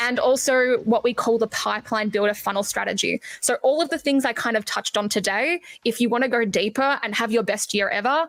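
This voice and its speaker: With an Australian accent, a woman speaks at a fairly quick pace in an animated tone, using a fairly high pitch, ordinary pitch variation, very even loudness and hardly any pauses, in a dry, close sound with no echo. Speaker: marketing agency owner. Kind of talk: podcast interview.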